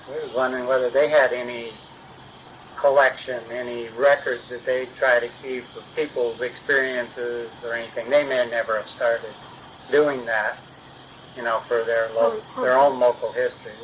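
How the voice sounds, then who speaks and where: Monotone and flat, a man talks at a moderate pace and medium pitch. His loudness swings a lot, and background noise is noticeable. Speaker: oral history interviewer. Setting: home recording.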